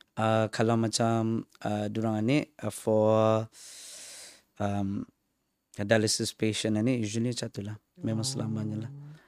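A man with a Malaysian accent talks at a moderate pace and medium pitch in a monotone, flat intonation, with long, frequent pauses and a dry, close sound with no echo. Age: 30s. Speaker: stand-up comedian. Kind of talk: casual interview chat mixing English and Malay.

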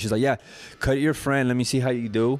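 Fairly level intonation from a man, noticeable background noise behind him. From Mexico. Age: 30s. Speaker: barber and barbershop owner. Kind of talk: casual chat. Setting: barbershop.

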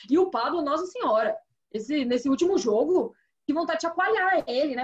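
Lively intonation from a woman, high in pitch and fairly quick. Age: 30s. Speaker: sports TV producer and presenter. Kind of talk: casual football chat.

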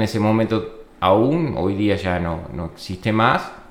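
A medium-pitched male voice with a Uruguayan accent, audible room echo and noticeable background noise. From Uruguay, Florida. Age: 40s. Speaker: viticulture agronomist. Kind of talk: interview. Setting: winery premises. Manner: halting, many repetitions and fillers.

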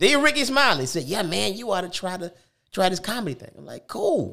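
A man's raised, projected voice, high-pitched with a bright, sharp tone, very wide pitch swings and a moderate pace, on a very clean recording with a silent background. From US South, Tuscaloosa, Alabama. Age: 50s. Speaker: comedian. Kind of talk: casual chat.

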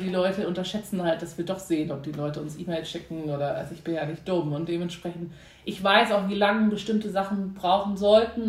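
A woman's medium-pitched voice at a very fast pace, fairly even in intonation, amid audible room echo and noticeable background noise. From Germany, Hamburg. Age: 30s. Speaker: PR agency founder. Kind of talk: interview.

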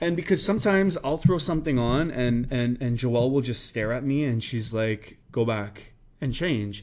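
A man's plain, everyday voice, medium in pitch, with lively intonation, a moderate pace and hardly any pauses. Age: 30s. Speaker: podcast host. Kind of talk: casual chat. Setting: in a clothing store.

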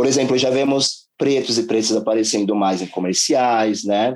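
Speaking at a fairly slow pace, a man keeps a fairly low pitch with ordinary pitch variation. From São Paulo periphery, Brazil. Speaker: investment specialist. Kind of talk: interview. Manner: halting, many fillers.

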